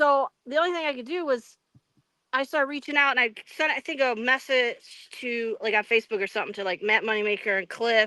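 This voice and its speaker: Loud and fairly quick, the voice has a bright, sharp tone and ordinary pitch variation, captured in a dry, close sound with no echo on a very clean recording with a silent background. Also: woman, high pitch for a woman. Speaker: Bigfoot eyewitness. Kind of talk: interview. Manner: halting.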